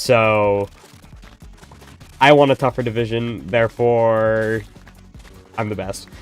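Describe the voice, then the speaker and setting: Over music in the background, the speech moves at a very slow pace with fairly even intonation and long, frequent pauses. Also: man, medium pitch for a man. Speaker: gaming streamer. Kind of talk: casual live-stream chat while gaming. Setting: live stream. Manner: naturally sounds sarcastic.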